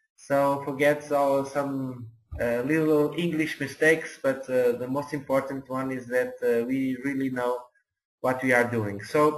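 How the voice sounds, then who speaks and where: Monotone, flat intonation comes from a man speaking with a non-native accent. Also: medium pitch for a man, fairly slow pace. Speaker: network marketing mentor. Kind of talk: webinar presentation. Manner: halting, many hesitations.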